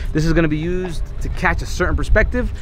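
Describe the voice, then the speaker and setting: A man's voice in a dry sound with no echo, over light background noise. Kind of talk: casual vlog chat. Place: open country.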